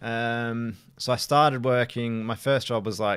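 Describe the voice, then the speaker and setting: On a very clean recording against a silent background, a man talks with an Australian accent. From Australia, Adelaide. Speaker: property investor and sourcer. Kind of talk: podcast interview. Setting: in person, Manchester.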